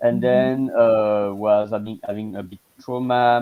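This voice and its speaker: A man speaks at a medium pitch. He has a French accent. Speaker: language coach. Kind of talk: casual chat. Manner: halting.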